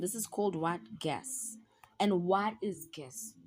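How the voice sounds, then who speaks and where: A woman talks at a fairly slow pace in a medium pitch, sounding somewhat breathy. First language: not English (South African language). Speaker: university student tutoring peers. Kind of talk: casual study tutorial. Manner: chatty, repetitive.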